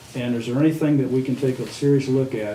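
A man's medium-pitched voice, with audible room echo and noticeable background noise. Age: 70s. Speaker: city council member. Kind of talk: town hall meeting discussion. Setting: public meeting.

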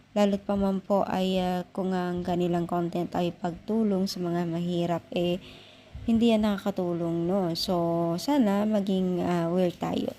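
A woman speaks with a dark, mellow tone at a medium pitch. Her pace is fairly slow and her intonation fairly even. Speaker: vlogger commenting on online drama. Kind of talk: casual vlog commentary with channel call to action.

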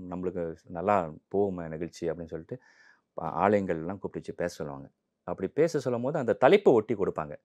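Over a quiet background, a man with a fairly low pitch speaks in lively intonation. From Malaysia. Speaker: Tamil enthusiast; interview guest. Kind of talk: interview. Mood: warm, cheerful. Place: studio. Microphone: lapel.

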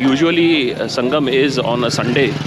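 A man's voice, dry with no echo, under loud background noise. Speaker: travel vlogger. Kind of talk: casual vlog commentary. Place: waterside. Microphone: phone near.

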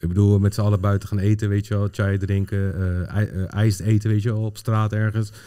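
The tone is dark and mellow. Intonation stays monotone and flat. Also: man. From Netherlands, Pakistani family. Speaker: football data analyst, former coach. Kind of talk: casual chat. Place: studio. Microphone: studio mic.

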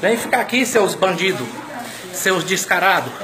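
With light background noise, a man in a high pitch speaks in a raised, projected voice at a moderate pace. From Mato Grosso, Brazil. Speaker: citizen filming a hospital. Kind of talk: angry selfie video rant. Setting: hospital emergency room corridor. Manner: loud; repetitive. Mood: outraged, insulting. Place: hall. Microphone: phone near.

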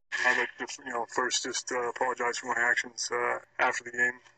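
Noticeable background noise surrounds a man. The sound is dry and close, with no echo. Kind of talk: scripted sports news reading; ring announcer bit, boxing-style intro.

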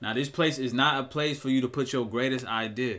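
The tone is bright and sharp, with fairly even intonation. The pace is fairly quick. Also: man. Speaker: entrepreneur vlogger. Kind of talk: casual vlog chat. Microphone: webcam.

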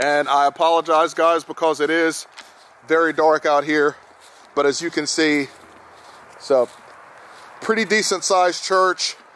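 The sound is dry with no echo. A man speaks with fairly even intonation at a moderate pace, leaving long, frequent pauses. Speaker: paranormal vlogger. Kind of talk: casual vlog chat. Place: open country. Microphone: phone near.

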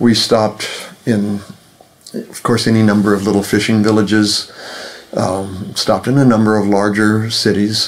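With long, frequent pauses, a man with fairly low pitch speaks at a moderate pace in a monotone, flat delivery against noticeable background noise. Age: 70s. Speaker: author and translator. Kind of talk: interview conversation.

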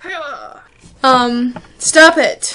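A woman's raised, projected voice, high in pitch with ordinary pitch variation. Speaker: online video creator. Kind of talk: casual tutorial vlog. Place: home room. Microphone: webcam.

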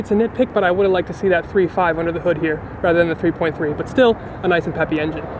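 Over noticeable background noise, a man talks at a very fast pace with ordinary pitch variation, the sound dry with no echo. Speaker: car reviewer. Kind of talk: car review commentary. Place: street.

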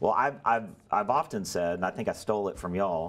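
The speech moves at a very fast pace with ordinary pitch variation. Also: man. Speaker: local government talk show host. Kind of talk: interview. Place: studio. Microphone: lapel.

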